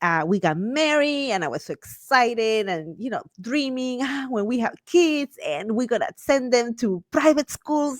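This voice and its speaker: A woman with a Guatemalan accent speaks in a high, animated voice with very wide pitch swings, at a fairly slow pace with hardly any pauses, on a very clean, dry and close recording with a silent background and no echo. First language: Spanish. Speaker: Spanish teacher and homeschool mom. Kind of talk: podcast interview.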